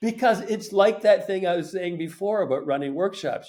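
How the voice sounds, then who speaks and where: A man speaks with a Canadian accent. His intonation is lively. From Canada, Montreal. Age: 70s. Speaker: painter and art teacher. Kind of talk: casual chat. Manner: halting.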